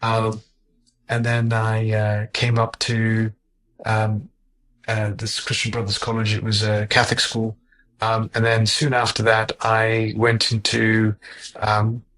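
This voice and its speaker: Delivery is very slow, with long, frequent pauses. The intonation stays monotone and flat. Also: man, medium pitch for a man. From Zimbabwe. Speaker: heart surgeon. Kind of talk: interview. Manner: halting, many fillers.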